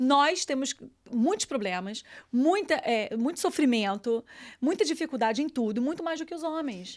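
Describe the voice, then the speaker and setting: With a Brazilian accent, a woman speaks in a high pitch at a moderate pace, her pitch swinging very widely. The recording is very clean, with a silent background. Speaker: journalist. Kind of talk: casual chat.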